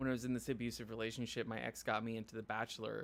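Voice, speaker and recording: A man at a very fast pace with a medium pitch. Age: 30s. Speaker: streamer and mental health youtuber. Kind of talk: casual chat. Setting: live stream. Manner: stutters at times.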